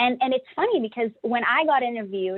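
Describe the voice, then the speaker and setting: Speaking at a very fast pace, a woman with a Brazilian accent has an animated tone, a high pitch and lively intonation. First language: Portuguese. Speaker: engineer. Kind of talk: panel discussion.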